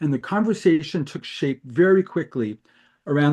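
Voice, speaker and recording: A man talks in a normal speaking voice at a moderate pace, with ordinary pitch variation. The background is quiet. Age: 60s. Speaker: card-search startup co-founder. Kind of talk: interview.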